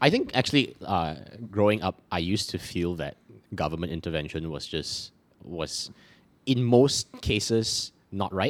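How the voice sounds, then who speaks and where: Lively intonation marks this man's fairly low-pitched, normal speaking voice. He talks at a fairly slow pace. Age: 20s. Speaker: podcast co-host appearing as guest. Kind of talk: casual chat.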